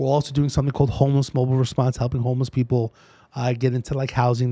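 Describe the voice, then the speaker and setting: With an American accent, a man speaks in a dark, mellow tone at medium pitch with fairly even intonation. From New York City. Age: 40s. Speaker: lawyer network founder and former police officer. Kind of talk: casual interview.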